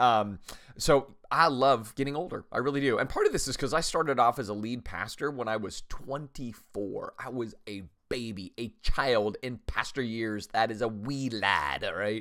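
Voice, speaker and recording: Recorded very cleanly against a silent background, a man talks at a moderate pace in a bright, sharp tone, his medium pitch showing ordinary variation. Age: 50s. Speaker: pastor and podcast host. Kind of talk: solo podcast monologue. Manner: casual, conversational with filler words.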